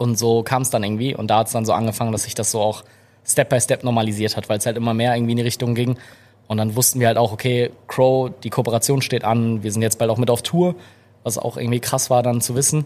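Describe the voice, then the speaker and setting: His words come out very fast, pitched in the middle range for a man, and his intonation stays fairly even. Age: 20s. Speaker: content creator and photographer. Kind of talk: casual interview chat. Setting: live podcast with small audience in a café.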